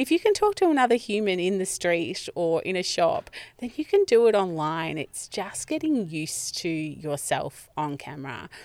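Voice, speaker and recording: A woman in an Australian accent, very wide pitch swings, and a moderate pace. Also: medium pitch for a woman, hardly any pauses. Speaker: business coach and marketing speaker. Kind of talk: casual interview. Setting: podcast van by a lake.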